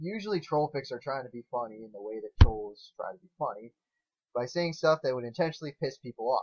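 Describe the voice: Talking at a fairly quick pace, a man has a slightly husky edge to his voice.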